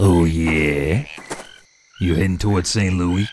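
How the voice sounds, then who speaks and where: Using a put-on character voice, a man speaks very deep and low. He goes at a fairly slow pace. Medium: audio drama. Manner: easygoing, folksy.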